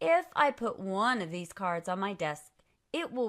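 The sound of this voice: An unforced reading voice comes through with lively intonation. The background is quiet.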